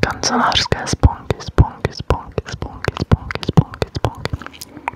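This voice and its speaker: A woman whispering at a very slow pace, dry and close with no echo, against noticeable background noise. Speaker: ASMR creator; teacher. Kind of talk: ASMR whisper triggers for sleep. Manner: whispered, soft, slow.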